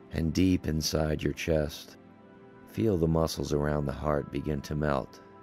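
A man speaks with a very deep, low pitch and a calm, soothing tone, his intonation fairly even. Music plays in the background. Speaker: yoga teacher leading guided relaxation. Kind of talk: yoga nidra guided relaxation. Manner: slow, calm, soothing pacing.

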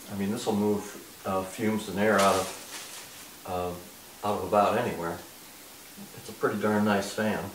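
A man at a fairly low pitch, with light background noise and audible room echo. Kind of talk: casual product unboxing talk. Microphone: camera far.

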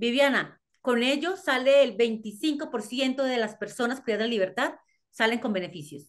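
The speech moves at a fairly slow pace with lively intonation over a quiet background. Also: woman. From Colombia. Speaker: criminologist and psychologist. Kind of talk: interview. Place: home room. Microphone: video call.

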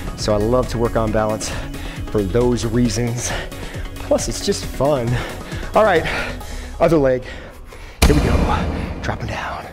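A man speaks at a fairly slow pace. He takes long, frequent pauses, with clear music in the background. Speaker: fitness trainer. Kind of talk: workout instruction. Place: gym.

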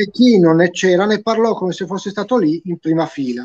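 A man talks at a fairly quick pace in a high voice. His intonation is lively. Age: 50s. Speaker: writer, chemistry graduate. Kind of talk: book presentation chat. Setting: video call on smartphone. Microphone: smartphone.

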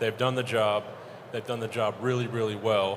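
Through noticeable background noise, a man of medium pitch speaks with monotone, flat intonation. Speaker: logistics director. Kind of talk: conference panel discussion.

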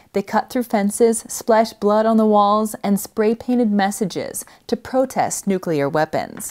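With an unremarkable speaking voice, a woman talks at a fairly slow pace and a fairly high pitch, with ordinary pitch variation, very even loudness, and a dry, close sound with no echo. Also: hardly any pauses. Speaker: news reporter. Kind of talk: news report narration.

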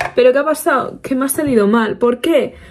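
The speaker's animated tone carries very wide pitch swings over a quiet background. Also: woman. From Spain. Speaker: beauty vlogger. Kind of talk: casual get-ready-with-me vlog. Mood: playful, self-mocking. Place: home room. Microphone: phone near.

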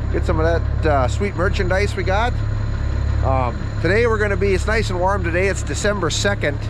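Someone speaks at a fairly quick pace in a dry sound with no echo, with noticeable background noise. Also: man. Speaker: farmer vlogger. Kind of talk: casual vlog chat. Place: farm machine. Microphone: phone near.

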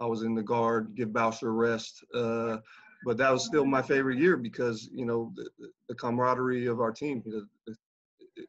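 A man with an American accent speaks in a monotone, flat way. His pace is moderate and the background quiet. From US, military family moving between bases. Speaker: basketball coach, former pro player; basketball coach. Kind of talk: casual interview chat. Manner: hesitant, many fillers. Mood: relaxed, reminiscing. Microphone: video call.

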